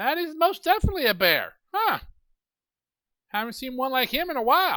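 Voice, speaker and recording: A put-on character voice with a high pitch and a fairly quick pace, in a very clean recording with a silent background. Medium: actual play. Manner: absent-minded, mishearing.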